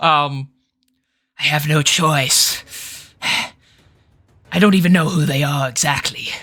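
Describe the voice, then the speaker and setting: Putting on a raspy character voice, a man speaks fairly slowly at a fairly high pitch with long, frequent pauses. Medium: actual play. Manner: haughty, threatening.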